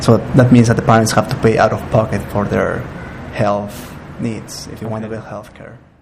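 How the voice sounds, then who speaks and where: Over noticeable background noise, a man with a medium pitch speaks at a moderate pace in a flat monotone, his loudness swinging widely. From Peru. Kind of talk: interview answer.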